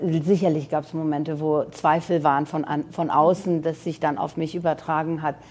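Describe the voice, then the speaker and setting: A woman's very deep, low voice with monotone, flat intonation. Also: moderate pace. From Iran, then Germany from age nine. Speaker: fashion designer and entrepreneur. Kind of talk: interview.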